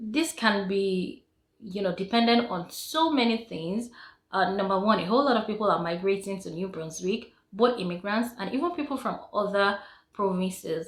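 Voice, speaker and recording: This woman speaks at a moderate pace with lively intonation. Her voice is somewhat breathy. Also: medium pitch for a woman. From Nigeria. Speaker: vlogger. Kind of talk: casual vlog talk to camera. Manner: hesitant with frequent fillers.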